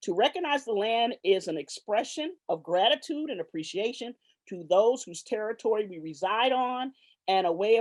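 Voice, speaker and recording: A woman with a slight Southern US accent at a moderate pace, ordinary pitch variation, dry, close sound with no echo and a quiet background. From Los Angeles, California. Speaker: professor. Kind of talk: formal introduction. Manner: hesitant, frequent fillers.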